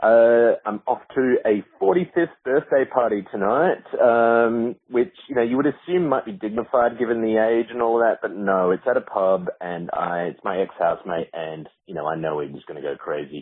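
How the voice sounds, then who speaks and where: Speaking with an Australian accent at a medium pitch and moderate pace, a man shows very wide pitch swings and big swings in loudness. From Australia, Adelaide. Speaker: listener leaving voicemail. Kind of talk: voicemail message. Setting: phone voicemail.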